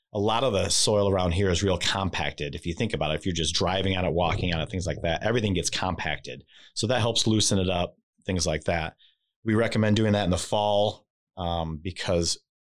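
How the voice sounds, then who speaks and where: In a very clean recording with a silent background, a man with an American accent talks at a fairly quick pace. His very deep, low voice keeps a fairly even intonation. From Michigan, St. Joseph area. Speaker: lawn care business owner. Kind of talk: interview.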